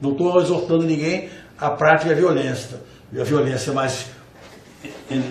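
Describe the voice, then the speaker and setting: Amid noticeable background noise and audible room echo, a man with a fairly high pitch talks fairly slowly with fairly even intonation. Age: 60s. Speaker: jurist and law professor. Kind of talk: panel debate. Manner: halting, repeated words.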